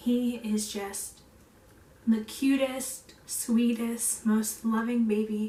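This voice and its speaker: In a fairly high pitch, a woman speaks at a very slow pace with monotone, flat intonation and a dark, mellow, somewhat breathy tone. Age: 20s. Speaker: stay-at-home mom and vlogger. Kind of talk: casual vlog chat.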